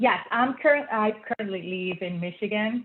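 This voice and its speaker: A woman with a slight Puerto Rican accent speaks at a moderate pace in a medium pitch, with ordinary pitch variation. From Puerto Rico. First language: Spanish. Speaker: feng shui consultant and former engineer. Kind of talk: interview. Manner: hesitant, many fillers.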